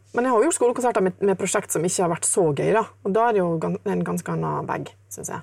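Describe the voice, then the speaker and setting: A woman at a very fast pace with hardly any pauses. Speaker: jazz guitarist. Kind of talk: casual interview.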